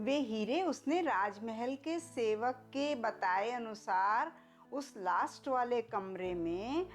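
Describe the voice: With faint music in the background, a woman speaks at a slow pace with lively intonation and a fairly high pitch.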